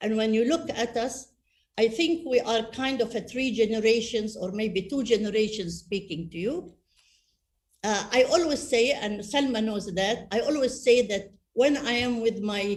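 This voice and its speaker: Her fairly high pitch shows ordinary variation as this woman talks at a moderate pace in a somewhat breathy voice. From Saudi Arabia. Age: 70s. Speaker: panelist, senior public figure. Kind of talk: webinar panel discussion.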